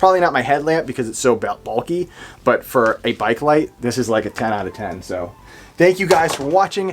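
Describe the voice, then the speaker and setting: Enthusiastic in tone, a man talks at a fairly quick pace. His voice swings very widely in pitch. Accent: New England. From New England. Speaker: gear reviewer. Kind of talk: product review. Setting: outdoors at night. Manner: casual, enthusiastic.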